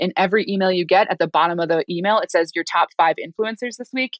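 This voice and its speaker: A woman with an American accent, very fast pace, medium pitch and ordinary pitch variation. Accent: Minnesota accent, rarely noticeable. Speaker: developer advocacy consultant. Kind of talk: podcast interview. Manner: casual, filler-heavy.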